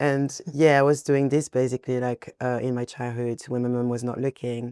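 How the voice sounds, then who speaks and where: In a French accent, a woman speaks at a very deep, low pitch with a dark, mellow tone and monotone, flat intonation, the sound dry and close with no echo. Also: moderate pace. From France, Paris. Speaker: singer and rapper. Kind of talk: casual chat.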